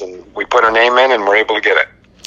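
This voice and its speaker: A man with an American accent at a moderate pace, with noticeable background noise. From Michigan, Albion. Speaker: high school football coach. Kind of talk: casual interview.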